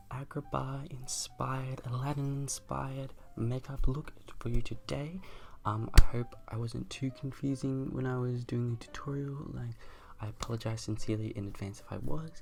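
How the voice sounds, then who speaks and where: Soft-spoken, a man talks at a moderate pace. His loudness swings widely. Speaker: makeup youtuber. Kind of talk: makeup tutorial outro.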